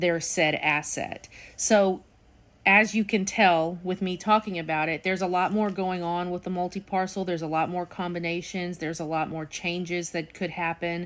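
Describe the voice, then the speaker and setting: A woman speaks at a fairly low pitch and a moderate pace in a monotone, with flat intonation. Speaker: real estate auctioneer. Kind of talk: casual talk to camera, explaining auction methods. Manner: conversational, explanatory.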